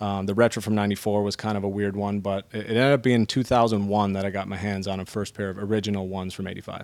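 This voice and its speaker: A man talks at a very fast pace with a fairly low pitch. His intonation is monotone and flat, with hardly any pauses. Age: 30s. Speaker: sneaker historian. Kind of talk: casual chat.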